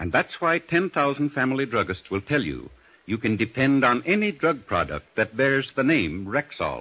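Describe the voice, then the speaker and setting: A man with vocal fry, very wide pitch swings and a moderate pace. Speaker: radio commercial announcer. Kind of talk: scripted radio ad, polished sales pitch. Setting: studio. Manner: smooth, formal, earnest, steady. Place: studio. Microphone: old recording.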